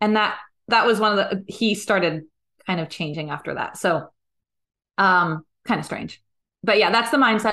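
Lively intonation carries a moderate pace in an American accent. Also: woman. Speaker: singer. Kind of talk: casual chat.

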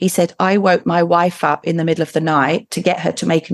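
In an ordinary speaking voice, a woman talks at a moderate pace and a fairly low pitch against a quiet background. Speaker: medium. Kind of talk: casual chat.

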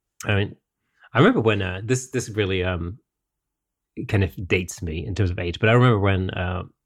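A somewhat breathy voice races at a very fast pace with ordinary pitch variation in a very clean recording with a silent background. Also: man. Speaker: photography podcast host. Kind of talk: casual chat. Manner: hesitant, many fillers.

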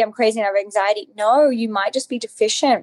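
A woman with an Australian accent talks very fast in a fairly high voice. Her intonation is fairly even, and the sound is dry and close with no echo. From Australia, Alice Springs. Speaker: nutritionist and author. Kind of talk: interview.

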